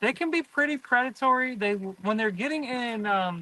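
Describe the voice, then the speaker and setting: His tone is bright and sharp. The man projects his voice in a raised way. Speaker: aquarium fish seller. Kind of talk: live stream sales talk. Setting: greenhouse.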